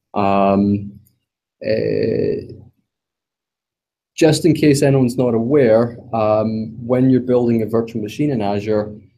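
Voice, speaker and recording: A man with a medium pitch and a dark, mellow tone talks at a very slow pace, leaving long, frequent pauses. His pitch varies in an ordinary way, and there is audible room echo. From Scotland. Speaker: tech conference speaker. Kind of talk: technical presentation. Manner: hesitant, many ums.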